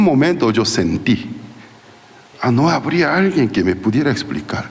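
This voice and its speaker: A Korean accent at a fairly slow pace with very wide pitch swings, audible room echo and noticeable background noise. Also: man. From South Korea. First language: Korean (speaking Spanish). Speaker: pastor. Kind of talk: sermon. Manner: halting.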